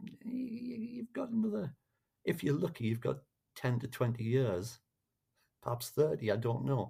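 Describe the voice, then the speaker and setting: The pace is fairly slow. A man talks in a somewhat breathy way. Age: 60s. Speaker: musician. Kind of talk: podcast interview. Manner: halting, with many restarts.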